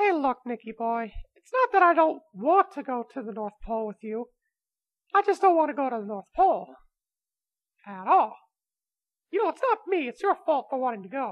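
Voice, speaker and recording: A female-sounding put-on character voice, high in pitch, swings very widely up and down at a moderate pace. Long pauses come often. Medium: audio drama. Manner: smug, scheming.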